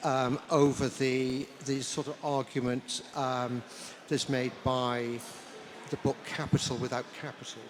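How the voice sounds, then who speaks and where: Over noticeable background noise, a man speaks fairly slowly in a monotone, flat intonation. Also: medium pitch for a man. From South Wales. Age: 70s. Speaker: historian, author. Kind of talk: panel discussion. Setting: book launch with audience. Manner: halting.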